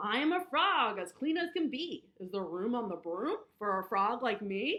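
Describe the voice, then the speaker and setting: A woman speaks in a put-on character voice that sounds croaky and sits fairly high. Her pitch swings very widely. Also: moderate pace. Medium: read story.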